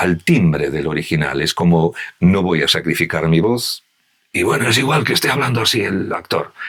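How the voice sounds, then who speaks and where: Lively intonation at a moderate pace. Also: man, very deep, low pitch for a man. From Galicia. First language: Galician (speaking Spanish). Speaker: voice actor. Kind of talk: podcast interview conversation.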